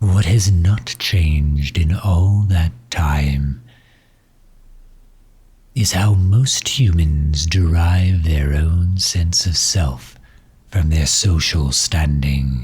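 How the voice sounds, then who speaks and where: A put-on character voice at a very slow pace. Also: man, very deep, low pitch for a man. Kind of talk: ASMR comfort roleplay. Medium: audio drama. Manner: soft-spoken, gentle.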